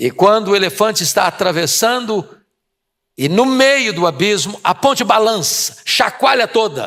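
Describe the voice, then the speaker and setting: At a fairly slow pace, a man with a high pitch speaks in a bright, sharp tone, his intonation lively and his loudness very even. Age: 60s. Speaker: preacher. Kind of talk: sermon.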